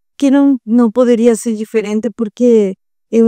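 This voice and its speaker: A woman with a strong Uruguayan accent, fairly high pitch and a dark, mellow tone, fairly slow, in a dry, close sound with no echo. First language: Spanish (speaking Portuguese). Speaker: psychologist. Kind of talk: podcast interview. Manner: halting, with fillers.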